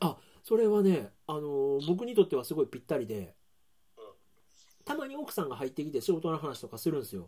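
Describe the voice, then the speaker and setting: Speaking very fast with long, frequent pauses, a man has a fairly high pitch, a dark, mellow tone, very wide pitch swings and big swings in loudness. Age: 40s. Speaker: podcast host and baker. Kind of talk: casual chat. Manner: laughs often.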